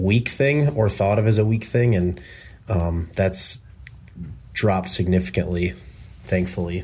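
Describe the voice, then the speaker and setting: This man's voice is very deep and low, and somewhat breathy. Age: 20s. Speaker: sales engineer. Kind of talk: casual chat. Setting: remote call. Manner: halting.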